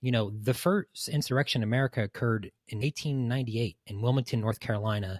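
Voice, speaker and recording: A somewhat breathy voice speaks at a moderate pace with fairly even intonation, on a very clean, silent-backed recording with a dry, close sound and no echo. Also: man. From East Tennessee. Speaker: podcast guest. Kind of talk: casual chat.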